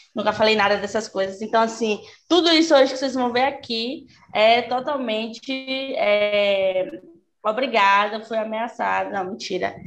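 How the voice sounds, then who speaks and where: At a fairly slow pace, a woman with a plain, everyday voice and a fairly high pitch speaks with ordinary pitch variation. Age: 20s. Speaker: journalist and fanfiction author. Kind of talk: casual chat.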